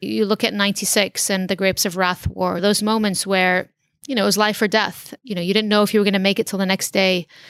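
A woman with an American accent at medium pitch, fairly quick pace and monotone, flat intonation, on a very clean recording with a silent background. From San Diego, California, then Lebanon from about age ten. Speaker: surgeon and tech company founder. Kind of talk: interview.

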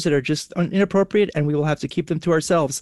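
The speaker talks at a very fast pace with an American accent and fairly even intonation. The sound is dry and close, with no echo and a quiet background. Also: man. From New York. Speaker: immigration attorney, podcast host. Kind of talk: casual chat.

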